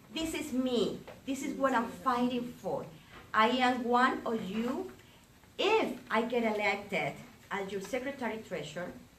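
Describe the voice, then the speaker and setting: A woman speaks at a fairly slow pace, her pitch high and her intonation lively. Audible room echo and noticeable background noise come through. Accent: Colombian. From Colombia. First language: Spanish. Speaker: realtor, association election candidate. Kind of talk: campaign speech. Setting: breakfast meeting with audience.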